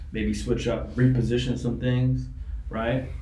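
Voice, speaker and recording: A man speaks with lively intonation, and audible room echo surrounds his voice. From New York City. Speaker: men's grooming entrepreneur. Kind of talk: casual chat.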